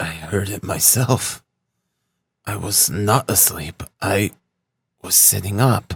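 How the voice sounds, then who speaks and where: A man's raspy put-on character voice, fairly low in pitch, with ordinary pitch variation and a very slow pace. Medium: read story.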